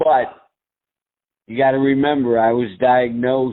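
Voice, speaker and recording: Fairly slow speech with fairly even intonation. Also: man. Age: 60s. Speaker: product user with multiple sclerosis. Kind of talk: testimony. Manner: halting.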